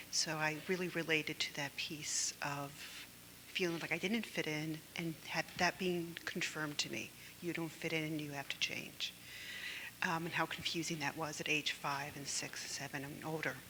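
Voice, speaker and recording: A woman with a very deep, low voice speaks at a moderate pace in a flat monotone, with noticeable background noise. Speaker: group therapy participant. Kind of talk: group sharing.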